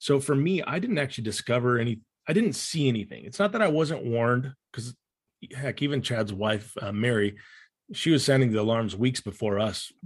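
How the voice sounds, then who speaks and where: Against a quiet background, a man with a medium pitch and a somewhat breathy voice talks at a fairly quick pace with lively intonation. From Romania. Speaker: former church member. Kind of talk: interview conversation. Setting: video call.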